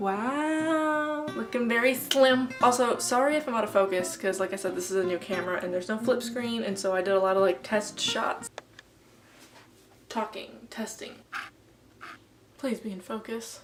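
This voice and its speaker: A woman at a fairly high pitch, with long, frequent pauses, over noticeable background noise. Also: lively intonation, moderate pace. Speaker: student vlogger. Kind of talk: casual vlog and school presentation. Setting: bedroom.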